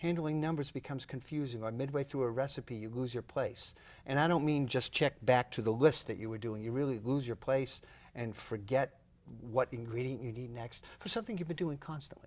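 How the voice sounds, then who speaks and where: A man talks with an ordinary speaking voice at medium pitch, with ordinary pitch variation. The recording is very clean, with a silent background. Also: fairly quick pace. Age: 60s. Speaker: professor of neuroscience. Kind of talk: TV health interview.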